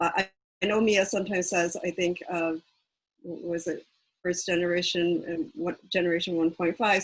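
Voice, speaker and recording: A woman with an American accent talks at a moderate pace and a medium pitch. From United States, Korean American. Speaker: activist and organization founder. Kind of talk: panel talk. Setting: video call.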